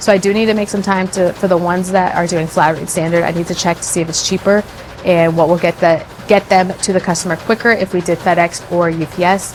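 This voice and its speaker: A woman at medium pitch and a fairly quick pace, monotone and flat in intonation, amid noticeable background noise. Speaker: small business owner. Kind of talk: casual vlog talk to camera.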